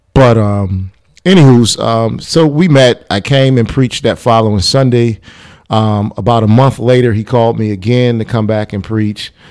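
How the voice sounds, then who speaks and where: In an American accent, a man uses an ordinary speaking voice at medium pitch, moving at a moderate pace with ordinary pitch variation. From US Midwest, Chicago suburb. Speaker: pastor. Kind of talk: casual chat. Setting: studio.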